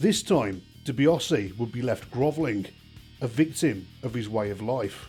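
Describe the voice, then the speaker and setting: Music plays behind a man who speaks at a fairly slow pace, his medium-pitched voice rising and falling in a lively way. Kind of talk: documentary-style countdown narration.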